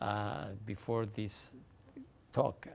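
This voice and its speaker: A man speaks in a Spanish accent. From Mexico (Mexico City). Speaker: author. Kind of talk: interview. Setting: library talk with audience. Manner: halting, frequent repetitions.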